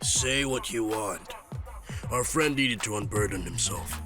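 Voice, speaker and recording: A raspy, put-on character voice talks at a moderate pace over clear music in the background. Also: man, medium pitch for a man. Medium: fan dub.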